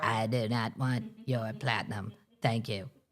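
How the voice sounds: Performed at a fairly slow pace, this put-on character voice sits low in pitch.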